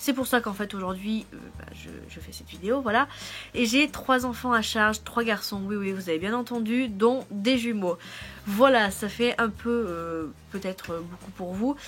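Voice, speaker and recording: A woman with a normal speaking voice, fairly high pitch, ordinary pitch variation and big swings in loudness. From France. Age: 20s. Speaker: au pair vlogger. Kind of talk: casual vlog.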